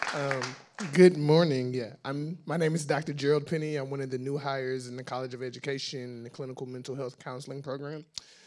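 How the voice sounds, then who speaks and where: With an American accent, a man races along at a very fast pace in a fairly high pitch, his intonation monotone and flat, his loudness swinging widely, all over noticeable background noise. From Houston, Texas. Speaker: university counseling faculty. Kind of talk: self-introduction at staff meeting.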